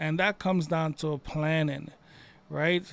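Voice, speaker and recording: At a moderate pace, a man talks in a New York accent. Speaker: IT instructor. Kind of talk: live tutorial. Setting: live stream.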